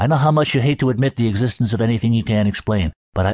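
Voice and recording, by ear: Quiet surroundings, ordinary pitch variation, and reading aloud in a natural voice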